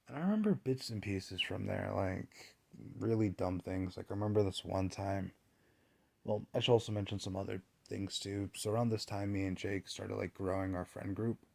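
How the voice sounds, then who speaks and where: Speaking at a fairly quick pace, a man uses a fairly low pitch and fairly even intonation. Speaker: personal vlogger. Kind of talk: casual storytelling monologue. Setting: home recording, no fan. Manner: casual, halting.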